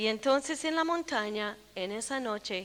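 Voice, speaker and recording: A woman's unremarkable speaking voice, fairly high in pitch. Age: 60s. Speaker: preacher. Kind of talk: sermon.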